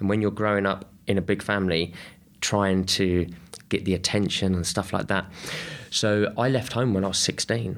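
A man's fairly low voice with a southern English accent, at a moderate pace, with fairly even intonation and very even loudness. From England, Kent. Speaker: artist and activist, formerly homeless. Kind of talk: interview conversation. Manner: halting.

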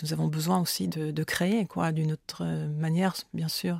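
A woman's voice in a very clean recording, silent background behind her. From France, rural Oise. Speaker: author. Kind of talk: interview. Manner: halting, many repetitions.

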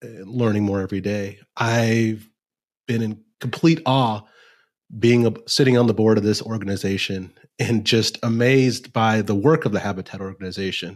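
This man has a US Midwestern accent, a medium pitch and fairly even intonation, speaking at a fairly slow pace on a very clean recording with a silent background. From Nebraska, US Midwest. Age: 30s. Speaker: lawyer and bird dog trainer. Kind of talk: casual interview. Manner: occasional stutter.

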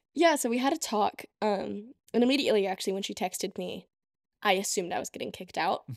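A woman speaks very fast at a medium pitch with vocal fry and lively intonation, in a dry, close sound with no echo on a very clean recording with a silent background. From US (Texas, moved around; Russia summers). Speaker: college student. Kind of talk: casual chat. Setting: in-person studio recording.

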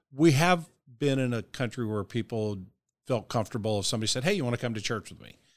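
An American accent and a medium pitch belong to this man, whose pitch variation is ordinary. He talks at a very fast pace on a very clean recording with a silent background. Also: big swings in loudness. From US Midwest, St. Louis area. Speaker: pastor. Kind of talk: interview.

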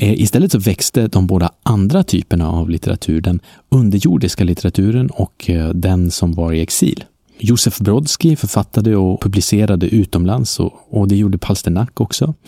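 A man's fairly low, dark, mellow voice at a moderate pace with ordinary pitch variation and very even loudness, on a very clean recording with a silent background and a dry, close sound with no echo. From northern Sweden (Norrland). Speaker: travel podcast host. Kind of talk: travel narration. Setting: outdoors on hostel balcony.

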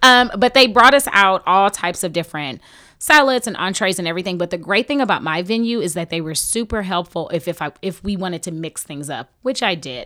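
A woman with a Texas accent and a bright, sharp tone, talking at a fairly quick pace with lively intonation and big swings in loudness, the sound dry and close with no echo. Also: medium pitch for a woman, very clean recording, silent background. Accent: Southern US (Texas). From Houston, Texas. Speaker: recently married bride, reality TV participant. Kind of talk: casual chat.

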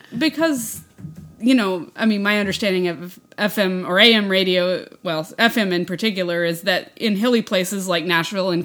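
A woman with an American accent speaks in a normal speaking voice at a moderate pace, her medium pitch carrying ordinary variation, on a very clean recording with a silent background. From West Texas, US. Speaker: podcast co-host. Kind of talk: casual chat.

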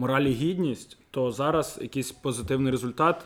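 This man has an unremarkable speaking voice at a medium pitch. His pitch varies in an ordinary way. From Kyiv, Ukraine. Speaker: football fan. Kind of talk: casual podcast discussion.

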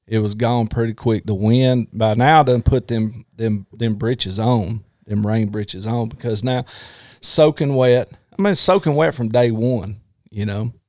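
With a dark, mellow tone and a Southern US accent, a man speaks at a fairly slow pace, the sound dry and close with no echo on a very clean recording with a silent background. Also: medium pitch for a man, ordinary pitch variation. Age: 40s. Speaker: former police officer, podcast host. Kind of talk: casual chat.

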